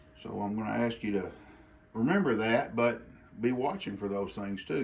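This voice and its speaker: A man with an Arkansas accent, fairly low pitch and ordinary pitch variation, in audible room echo. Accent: Arkansas drawl. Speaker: bladesmith. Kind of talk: informal tutorial. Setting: outdoor forge in the country. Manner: casual, halting with repetitions.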